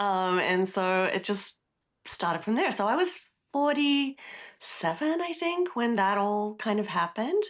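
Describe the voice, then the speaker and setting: In an Australian accent, a woman with a fairly high voice talks fairly slowly, her pitch swinging very widely while her loudness stays very even, against a quiet background. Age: 60s. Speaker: artist and workshop teacher. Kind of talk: casual interview chat. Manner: animated.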